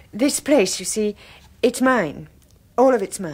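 A put-on character voice moves slowly with big pitch swings. Its tone is slightly mellow with a slightly husky edge. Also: woman, medium pitch for a woman.

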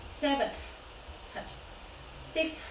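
The speech moves at a very slow pace, with audible room echo and light background noise. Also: woman. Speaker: yoga teacher. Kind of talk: class instruction, counting. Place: home room. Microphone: camera far.

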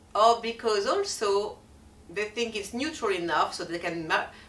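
A woman with a French accent. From France. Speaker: feng shui and color consultant. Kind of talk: talk to camera.

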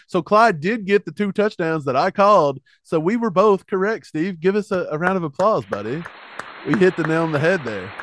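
Over crowd noise in the background, a man with a high pitch and ordinary pitch variation speaks at a fairly quick pace, the sound dry with no echo. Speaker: sports podcast co-host. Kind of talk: casual sports analysis chat. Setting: video recording, two hosts together. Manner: animated. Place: home room. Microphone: studio mic.

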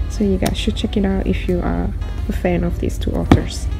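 A woman speaks at a fairly quick pace. Loud music plays in the background. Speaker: bookstore part-timer vlogger. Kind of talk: casual vlog chat. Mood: enthusiastic, excited. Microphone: phone near.

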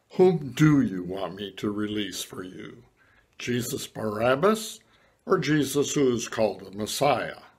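At a fairly slow pace, a man speaks at a medium pitch with lively intonation and big swings in loudness. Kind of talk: church dramatised gospel reading. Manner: questioning, increasingly exasperated.

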